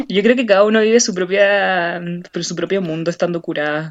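The speaker talks with a Chilean accent and fairly even intonation. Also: woman. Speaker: podcast co-host. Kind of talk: casual chat.

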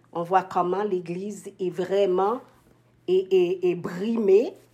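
This is a woman speaking. Her pitch is medium for a woman. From Haiti. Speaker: nurse. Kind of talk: testimony. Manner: halting.

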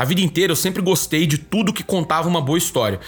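Noticeable background noise sits under the audio. A man is speaking. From Minas Gerais, Brazil (Divinópolis). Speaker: podcast host, sports journalist. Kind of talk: casual chat.

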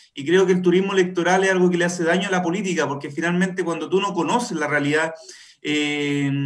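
A man's high voice at a fairly quick pace, with fairly even intonation. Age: 30s. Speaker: political candidate. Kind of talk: radio interview.

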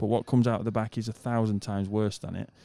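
A man with a British accent speaks in a fairly low, dark, mellow voice with monotone, flat intonation. The recording is very clean, dry and close, with no echo and a silent background. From UK. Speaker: mechanic. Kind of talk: casual chat. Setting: hotel lobby, wearing masks.

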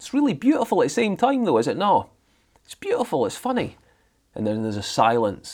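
This man has a Scottish accent. He talks at a fairly quick pace. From Scotland (Highlands). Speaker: drama practitioner. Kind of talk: casual chat.

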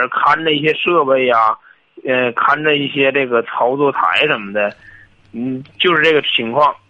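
Lively intonation at a moderate pace. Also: man. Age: 20s. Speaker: caller, former salesperson. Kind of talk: call-in advice conversation. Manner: halting, hesitant.

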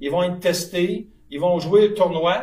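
A man talks with a high pitch. Noticeable background noise sits behind him. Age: 60s. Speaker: sports federation president. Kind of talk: live podcast interview. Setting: live at a curling club.

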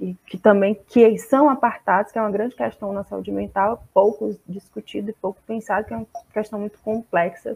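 In a normal speaking voice with medium pitch, a woman talks at a moderate pace with big swings in loudness, and the sound is dry and close with no echo. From Brazil, Fortaleza, Ceará. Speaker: psychologist. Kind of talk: online seminar talk.

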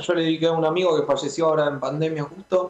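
Here a man speaks with a high pitch. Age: 30s. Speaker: rock musician and music producer. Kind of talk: radio interview. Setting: remote call into radio show.

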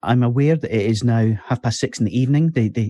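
Speaking in a Scottish accent, a man has a dark, mellow tone and ordinary pitch variation at a moderate pace. The sound is dry and close with no echo, and the background is quiet. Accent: Scottish (Fife). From Scotland, Fife. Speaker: podcast host. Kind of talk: casual chat.

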